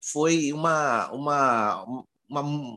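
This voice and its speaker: The tone of this man's voice is bright and sharp. Behind him, things are quiet. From Rio de Janeiro, Brazil. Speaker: podcast co-host. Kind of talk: casual chat.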